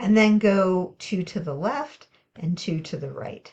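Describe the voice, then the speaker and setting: A woman speaks in a somewhat breathy voice. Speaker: math teacher. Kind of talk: tutorial.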